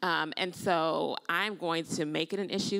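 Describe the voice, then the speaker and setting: With an American accent, a woman speaks in a fairly low pitch with vocal fry and fairly even intonation against a quiet background. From Illinois. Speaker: nurse and potential congressional candidate; candidate. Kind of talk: panel discussion. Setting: stage with audience. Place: stage. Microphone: handheld.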